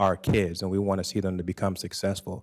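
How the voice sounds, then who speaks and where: A man with a Haitian accent speaks very fast at a fairly low pitch. The recording is very clean, with a silent background. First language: Haitian Creole. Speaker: school board candidate. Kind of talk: candidate forum debate answer.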